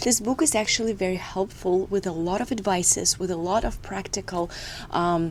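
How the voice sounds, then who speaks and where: Speaking at a moderate pace with a Russian accent, a woman uses a medium pitch and ordinary pitch variation over noticeable background noise. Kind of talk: devotional talk to camera. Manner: hesitant, with filler sounds.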